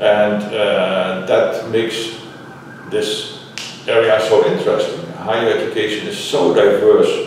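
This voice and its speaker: A man with a Dutch accent at a fairly slow pace, amid strong room echo and light background noise. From Netherlands. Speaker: higher education scholar. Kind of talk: interview. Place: meeting room. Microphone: camera far.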